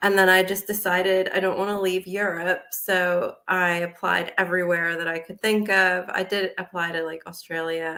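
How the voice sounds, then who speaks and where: Bright and sharp in tone, a woman with an American accent speaks at a medium pitch and a moderate pace in a monotone, flat delivery with hardly any pauses. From United States. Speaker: business owner and psychologist. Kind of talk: interview.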